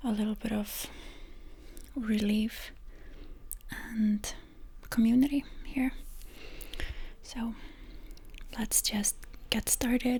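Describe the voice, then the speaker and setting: A soft-spoken woman's fairly high voice, gentle in tone, with fairly even intonation at a very slow pace. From Iceland. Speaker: energy healer and ASMR creator. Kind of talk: ASMR energy healing session, soft-spoken. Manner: soft-spoken, gentle, minimal talking.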